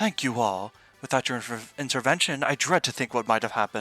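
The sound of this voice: The reading voice is unforced. Its pitch moves in a lively way.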